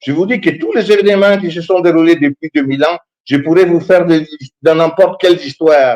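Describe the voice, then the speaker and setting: An animated man speaks at a high pitch, recorded with a dry, close sound and no echo. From Italy. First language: Italian (speaking French). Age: 60s. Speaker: history professor. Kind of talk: talk show discussion. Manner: animated, halting with repetitions.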